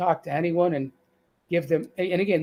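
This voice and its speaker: Using a Boston accent, a man speaks at a high pitch with ordinary pitch variation. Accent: Boston accent, still present. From Boston, US. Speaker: cancer survivor sharing weight-loss story. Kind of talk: live-stream interview. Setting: online live stream. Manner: halting, frequent restarts.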